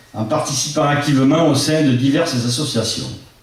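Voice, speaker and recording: Speaking at a fairly slow pace, a man has a fairly high pitch and ordinary pitch variation. Audible room echo and noticeable background noise fill the recording. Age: 60s. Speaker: local election candidate. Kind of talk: public meeting speech. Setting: public meeting with audience. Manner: formal.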